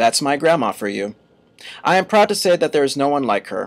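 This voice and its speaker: A man talks with an American accent at a fairly quick pace. He has an ordinary speaking voice. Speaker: college radio host. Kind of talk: humorous eulogy speech reading.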